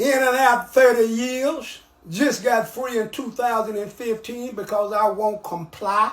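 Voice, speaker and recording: Over noticeable background noise, someone with an American accent speaks at a fairly slow pace and with fairly even intonation. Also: man, extremely high pitch for a man. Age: 70s. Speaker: ex-convict elder. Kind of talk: street interview.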